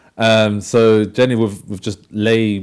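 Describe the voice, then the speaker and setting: Someone with a London accent is heard on a very clean recording with a silent background. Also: man. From London, England. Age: 20s. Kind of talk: testimony. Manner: halting.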